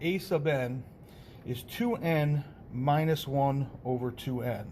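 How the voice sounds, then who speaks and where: Audible room echo surrounds a man whose fairly high voice comes out somewhat breathy. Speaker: math teacher. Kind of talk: lecture.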